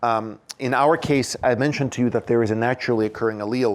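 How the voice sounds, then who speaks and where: His pitch moves in a normal way. The man speaks fairly quickly. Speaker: scientist lecturer. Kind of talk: lecture. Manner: fast; halting, repeats words.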